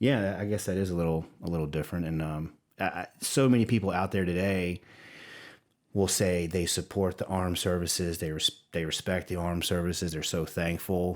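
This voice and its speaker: On a very clean recording with a silent background, a man with a Southern US accent speaks at a fairly quick pace with a very deep, low pitch and fairly even intonation. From Louisiana, Livingston Parish. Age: 40s. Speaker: creative executive and war veteran. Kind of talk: podcast interview. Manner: halting, many repeats.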